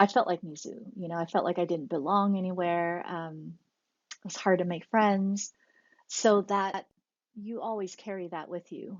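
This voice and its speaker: A woman with a normal speaking voice talks at a moderate pace and medium pitch, her intonation fairly even. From Taiwan, then US from about age nine. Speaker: animation director and producer. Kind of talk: interview.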